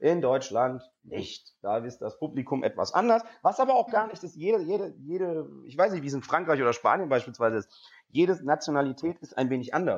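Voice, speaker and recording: Pitch swings very widely and loudness shifts a lot as a man talks at a fairly quick pace. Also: fairly high pitch for a man. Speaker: stand-up comedian and presenter. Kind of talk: interview. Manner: extroverted, lively.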